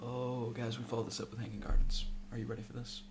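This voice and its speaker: A man's deadpan tone comes through audible room echo and noticeable background noise. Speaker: video game streamer. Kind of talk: casual gameplay commentary. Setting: live stream. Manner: sometimes deadpan.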